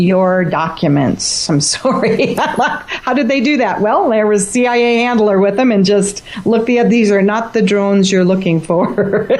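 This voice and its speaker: A woman speaks at a medium pitch in an animated tone. Noticeable background noise runs behind her. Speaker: author and former flight attendant. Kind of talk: radio interview. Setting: radio show.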